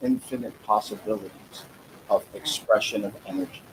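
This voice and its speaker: Noticeable background noise fills the recording while a man talks fairly slowly. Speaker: guest on live stream. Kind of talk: casual chat.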